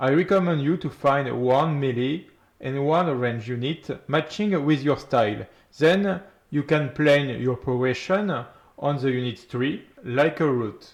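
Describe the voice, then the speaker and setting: A man with a French accent talks at a fairly slow pace. His pitch is fairly high, with ordinary variation. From France. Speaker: gaming YouTuber. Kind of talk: game guide narration.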